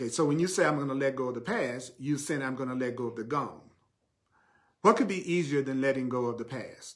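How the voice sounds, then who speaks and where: A man with a Southern US accent talks at a fairly quick pace, his medium pitch showing ordinary variation. Audible room echo surrounds his voice. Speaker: spiritual teacher. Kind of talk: sermon. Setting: live stream.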